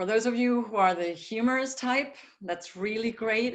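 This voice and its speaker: A woman with a German accent, lively intonation and a moderate pace, plus audible room echo. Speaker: communication consultant. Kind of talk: webinar lecture.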